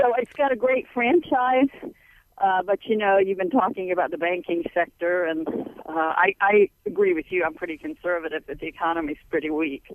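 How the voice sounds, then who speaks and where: With lively intonation, an unremarkable speaking voice moves along at a moderate pace. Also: woman, medium pitch for a woman. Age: 60s. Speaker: caller. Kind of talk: call-in question. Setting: phone call.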